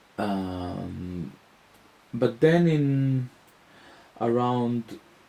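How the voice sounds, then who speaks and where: A man's fairly low voice swings very widely in pitch. There is noticeable background noise. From Israel. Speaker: musician and author. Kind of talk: interview. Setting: interviewer's home. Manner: hesitant, many fillers.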